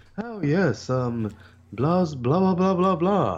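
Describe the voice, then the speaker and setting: In a breathy, put-on character voice, the words come at a very slow pace. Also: man, high pitch for a man. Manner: effete, dismissive, drawling.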